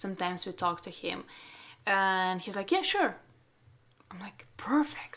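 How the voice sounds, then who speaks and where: On a very clean recording with a silent background, a woman with a non-native accent speaks at a medium pitch with ordinary pitch variation. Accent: non-native English speaker. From Russia. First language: Russian. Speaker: portrait photographer and podcast host. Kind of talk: casual interview chat.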